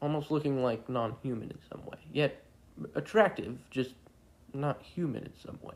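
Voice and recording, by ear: Someone is reading aloud in a natural voice. The intonation is fairly even.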